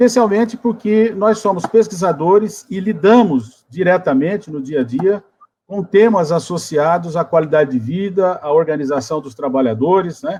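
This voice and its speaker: With a dark, mellow tone and a high pitch, a man speaks at a moderate pace with lively intonation. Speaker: geography professor, debate moderator. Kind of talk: academic webinar introduction.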